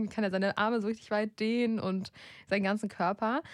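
At a fairly quick pace, a woman with a normal speaking voice talks at a fairly high pitch in a very clean recording with a silent background. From Germany, grew up in a village. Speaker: podcast host, editor. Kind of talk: casual chat; reading aloud. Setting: studio.

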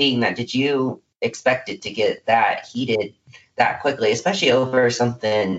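A man's normal speaking voice at medium pitch, moderate pace and ordinary pitch variation. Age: 20s. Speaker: podcast host. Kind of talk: interview.

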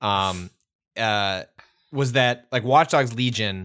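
In a very clean recording with a silent background, a man with a slight Chicago accent speaks in a fairly low pitch, his tone bright and sharp and his pitch variation ordinary. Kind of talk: casual chat. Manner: halting.

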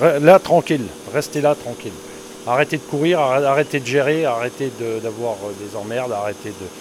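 Over noticeable background noise, a man speaks at a moderate pace and medium pitch, his loudness swinging widely. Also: ordinary pitch variation. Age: 60s. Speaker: dairy farmer. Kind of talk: casual chat.

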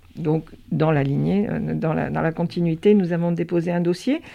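Speaking at a fairly slow pace, a woman has a dark, mellow tone, fairly low pitch and ordinary pitch variation. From France, Gironde (Pauillac, Médoc). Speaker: winegrower and business owner. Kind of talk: interview. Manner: halting.

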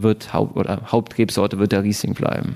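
A man talks at a moderate pace in a monotone, flat delivery, his fairly low voice dark and mellow in tone. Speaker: winemaker. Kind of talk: casual interview chat. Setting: at a table in the winery.

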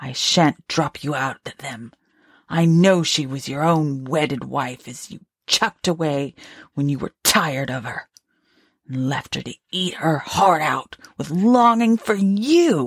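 A woman puts on a character voice with a very deep, low pitch and lively intonation at a fairly slow pace. The recording is very clean, with a silent background and a dry, close sound with no echo. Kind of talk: Victorian ghost story reading. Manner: bitter, accusing, vengeful.

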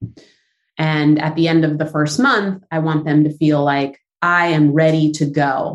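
Speaking with a Southern Californian accent, a woman talks at a fairly slow pace in a very deep, low pitch. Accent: Southern California American. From Southern California, San Fernando Valley. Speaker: business founder. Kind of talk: interview.

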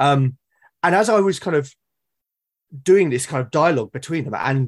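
A man with a British accent at a moderate pace, in a dry, close sound with no echo. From Britain. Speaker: artist and audio drama podcaster. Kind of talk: casual chat. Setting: online call.

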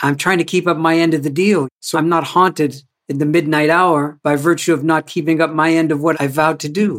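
With a Canadian accent and an unremarkable speaking voice, a man of fairly high pitch speaks at a fairly quick pace with hardly any pauses and fairly even intonation. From Canada. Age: 60s. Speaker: culture activist and author. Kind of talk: interview conversation. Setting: video call.

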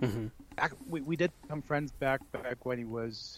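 With an American accent, a man talks at a fairly slow pace in a normal speaking voice with ordinary pitch variation. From Texas, El Paso. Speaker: wrestling broadcaster. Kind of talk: casual interview. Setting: remote call.

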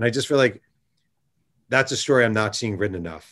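A man at medium pitch with ordinary pitch variation, over a quiet background. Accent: American. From New York State, Hudson Valley. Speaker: sportswriter and author. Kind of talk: interview. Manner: animated.

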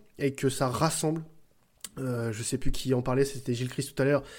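Moving at a fairly quick pace, a man speaks with a fairly high pitch and a dark, mellow tone. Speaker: podcast host. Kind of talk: live stream chat, casual. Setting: live Twitch stream. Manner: enthusiastic, animated.

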